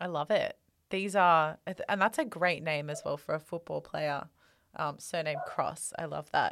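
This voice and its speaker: A woman with an Australian accent, talking at a moderate pace. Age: 20s. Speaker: podcast host. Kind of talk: interview. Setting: video call.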